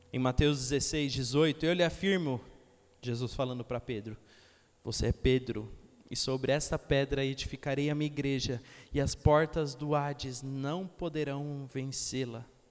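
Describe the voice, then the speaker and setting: A man's fairly high-pitched voice at a fairly slow pace. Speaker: youth preacher. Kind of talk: sermon with urgent exhortation and direct appeals to the congregation. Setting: church with live congregation. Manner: animated, emphatic, repeating phrases for rhythm, conversational with humor.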